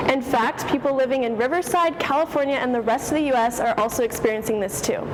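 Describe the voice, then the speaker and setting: A woman speaks at a very fast pace in a high pitch. Her pitch variation is ordinary, with noticeable background noise. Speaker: student TV news reporter. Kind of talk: news reporter standup.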